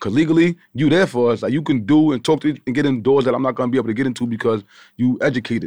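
A man with a Long Island accent talks at a very fast pace and medium pitch, with ordinary pitch variation over a quiet background. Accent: Long Island New York. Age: 30s. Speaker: podcast host. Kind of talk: casual chat. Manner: fast talker.

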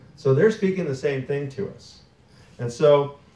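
Somewhat breathy, the man's voice has a dark, mellow tone. His pitch is medium. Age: 2020. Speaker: pastor. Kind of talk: sermon. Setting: church. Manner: conversational.

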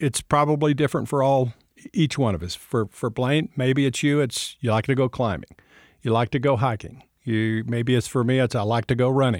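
In a very clean recording with a silent background and a dry, close sound with no echo, a man with an American accent uses a normal speaking voice with ordinary pitch variation. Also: medium pitch for a man, moderate pace. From West Texas. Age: 60s.

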